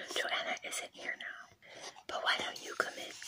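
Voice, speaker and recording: Whispering from a woman, with noticeable background noise. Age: 30s. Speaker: ASMR creator. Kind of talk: scary story reading. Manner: whispered.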